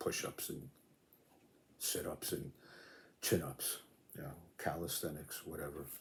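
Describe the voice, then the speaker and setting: A man's relaxed, somewhat breathy tone at a moderate pace. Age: 70s. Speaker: fitness video creator, veteran weight trainer. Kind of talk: casual talk to camera. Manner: relaxed, with many fillers.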